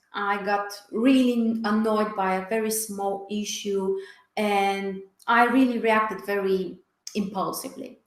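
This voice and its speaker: A woman speaks at a fairly slow pace in a medium pitch. Her intonation is monotone and flat, with audible room echo. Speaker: astrologer. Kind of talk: webinar talk. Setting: online webinar.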